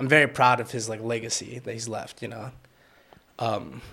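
On a very clean recording with a silent background, a man with a Washington DC accent talks at a fairly quick pace. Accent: Washington DC area American. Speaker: photographer and videographer. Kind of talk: casual chat. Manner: soft-spoken, mellow.

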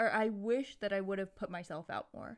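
A woman uses a plain, everyday voice with fairly high pitch and ordinary pitch variation. The recording is very clean, with a silent background. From Massachusetts suburbs and Hawaii, US. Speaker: podcast co-host. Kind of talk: casual chat. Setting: studio microphone.

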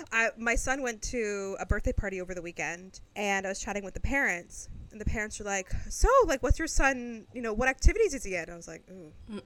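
A woman with a fairly high pitch and an ordinary speaking voice talks at a fairly quick pace with hardly any pauses and big swings in loudness. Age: 30s. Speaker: podcast co-host. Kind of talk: casual chat.

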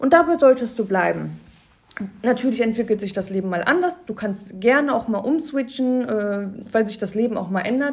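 Lively intonation runs through a woman's somewhat breathy speech. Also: fairly high pitch for a woman, moderate pace. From Cologne area, Germany. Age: 20s. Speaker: Instagram influencer. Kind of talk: casual interview. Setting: office studio.

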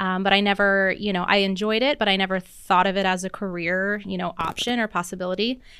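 With an American accent, a woman talks at a very fast pace with hardly any pauses, in a bright, sharp tone at medium pitch and fairly even intonation, on a very clean recording with a silent background. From US Pacific Northwest, Seattle area. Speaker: wedding planner. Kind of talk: casual interview. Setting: studio.

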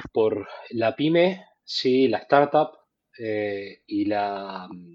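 Lively intonation runs through this man's speech. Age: 40s. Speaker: fintech product executive. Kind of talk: casual interview. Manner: halting, many repetitions.

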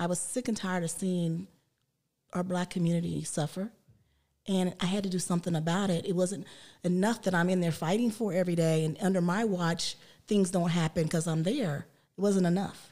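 The speaker has a dark, mellow tone and an American accent, talking at a fairly quick pace with fairly even intonation. Loudness stays very even, and the recording is very clean with a silent background. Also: woman, fairly low pitch for a woman. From US South (West Virginia). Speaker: police officer. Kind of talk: interview.

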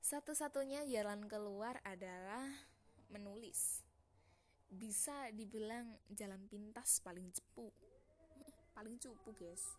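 A woman's fairly high voice with ordinary pitch variation, very slow in pace, broken by long, frequent pauses. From East Java, Trenggalek. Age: young. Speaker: podcaster. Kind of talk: personal monologue. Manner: halting.

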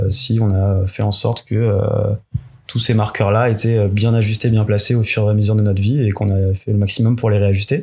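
Monotone, flat intonation from a fairly low-pitched man. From Paris region, France (Yvelines). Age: 30s. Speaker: engineer, friend of the host. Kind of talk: casual interview chat. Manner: hesitant, many fillers.

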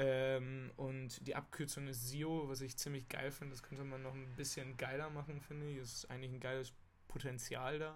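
A man speaks at a moderate pace in a medium pitch. His intonation is flat and monotone, with audible room echo. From Münster, northwestern Germany. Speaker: podcaster. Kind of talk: casual monologue. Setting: small rented room abroad. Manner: casual, with filler sounds.

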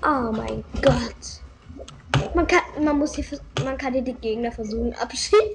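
A woman speaks at a very slow pace with noticeable background noise. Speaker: gaming content creator. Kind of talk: gameplay commentary. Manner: animated.

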